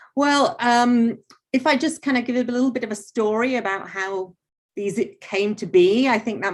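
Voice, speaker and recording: In an English accent, a woman speaks at a fairly high pitch with ordinary pitch variation. Her pace is moderate, and the background is quiet. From England. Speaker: artist and art teacher. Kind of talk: artist talk interview.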